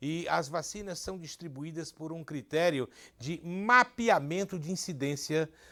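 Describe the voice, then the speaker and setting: At a fairly slow pace and in a bright, sharp tone, the speaker shows big swings in loudness and ordinary pitch variation, on a very clean recording with a silent background. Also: man. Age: 60s. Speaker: TV show host. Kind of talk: casual chat.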